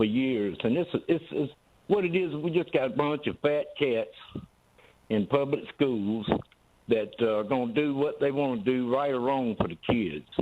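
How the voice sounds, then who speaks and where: With a Southern US accent, a man speaks at medium pitch and a moderate pace, his intonation lively. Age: 60s. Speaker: caller. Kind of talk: call-in comment. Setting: phone call.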